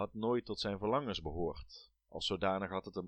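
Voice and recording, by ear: The surroundings are quiet. A text is read aloud in a natural voice.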